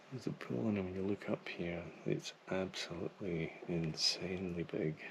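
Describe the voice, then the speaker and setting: A man whispers at a moderate pace. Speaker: travel photography vlogger. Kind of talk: on-location vlog narration. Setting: outdoors in a gorge. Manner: whispering.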